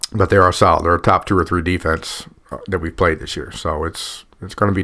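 A man's very deep, low voice with an American accent, bright and sharp in tone, flat and monotone, at a very fast pace. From Massillon, Ohio. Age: 50s. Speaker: high school football coach. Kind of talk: casual chat.

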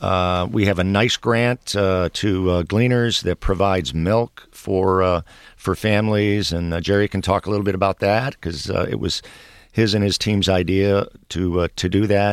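A man with an American accent and a normal speaking voice, fairly low in pitch, at a moderate pace with fairly even intonation, in a very clean, dry, close recording with no echo and a silent background. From Detroit. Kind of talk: radio interview. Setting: radio studio.

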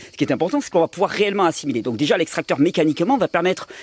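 In a dry, close sound with no echo, a man with a fairly high pitch talks at a very fast pace with lively intonation. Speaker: health video host. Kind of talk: casual chat. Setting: home with friends around table.

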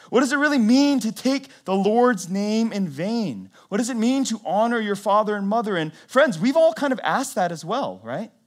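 The speaker has an American accent and lively intonation, at a moderate pace with hardly any pauses. The recording is very clean, with a silent background. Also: man, high pitch for a man. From US South, North Carolina. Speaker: pastor. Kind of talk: sermon. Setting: church.

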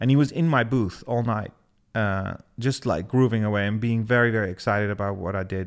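In a very clean recording with a silent background, a man with a Dutch accent and a fairly low voice speaks at a fairly quick pace with ordinary pitch variation. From Netherlands, Twente (Almelo). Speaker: DJ and music producer. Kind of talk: interview.

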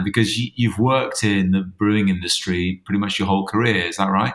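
This man has a plain, everyday voice, fairly low in pitch with ordinary variation. He talks at a fairly quick pace. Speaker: podcast interviewer. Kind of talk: casual interview conversation.

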